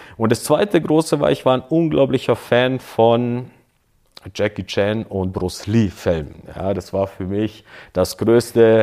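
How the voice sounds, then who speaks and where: In a very clean recording with a silent background, a man with a dark, mellow tone and medium pitch speaks very slowly with lively intonation. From southwest Germany (Böblingen), partly Croatia. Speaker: former kickboxing champion and coach. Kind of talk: life story interview.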